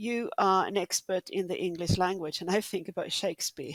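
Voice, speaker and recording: A woman with a Swedish accent, dry and close with no echo, on a very clean recording with a silent background. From Sweden. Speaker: podcast host. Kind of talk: interview.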